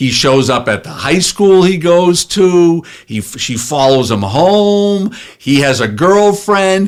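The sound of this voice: A man speaks at a high pitch with lively intonation.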